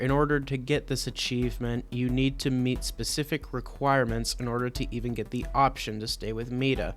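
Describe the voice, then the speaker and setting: At a moderate pace, a man is speaking. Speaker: gaming youtuber. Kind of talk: game commentary voiceover. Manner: audible loud breaths.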